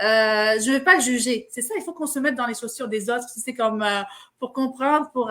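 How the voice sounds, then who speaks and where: A woman's high-pitched voice with an Arabic accent, bright and sharp in tone, with ordinary pitch variation. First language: Arabic (speaking French). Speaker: interviewer. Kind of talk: interview. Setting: live stream.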